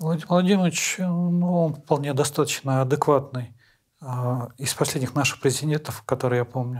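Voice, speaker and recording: A man talks at a fairly high pitch with ordinary pitch variation. His voice is somewhat breathy. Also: moderate pace, very clean recording, silent background. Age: 40s. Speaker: prisoner of war, contract soldier. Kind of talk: interview. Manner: halting.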